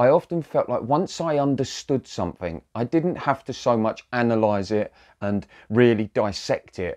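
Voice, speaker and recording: A man speaks at a medium pace with a quiet background behind him. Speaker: spiritual coach. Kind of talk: casual vlog talk. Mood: calm, reflective. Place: home room. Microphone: lapel.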